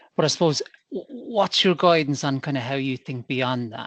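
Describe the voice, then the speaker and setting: A man with an Irish accent speaks at a moderate pace and a fairly high pitch. The sound is dry and close, with no echo. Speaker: business leader, meeting attendee. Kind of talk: Q&A question. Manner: halting, with false starts.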